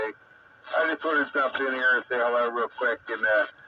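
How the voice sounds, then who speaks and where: A man's intonation stays fairly even while noticeable background noise carries on. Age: 60s. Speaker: radio amateur operator. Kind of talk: ham radio net chat. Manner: halting, many fillers.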